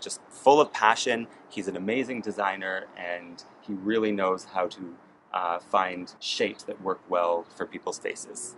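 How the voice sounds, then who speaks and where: Over light background noise, a man with a fairly low pitch and ordinary pitch variation speaks at a fairly slow pace. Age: 30s. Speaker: eyewear buyer; eyewear buyer reviewing a frame. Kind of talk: product review. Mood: enthusiastic, warm. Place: street.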